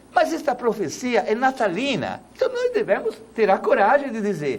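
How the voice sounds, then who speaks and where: Noticeable background noise beneath a fairly slow pace of speech. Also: man. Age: 70s. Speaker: priest. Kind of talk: tv talk show debate.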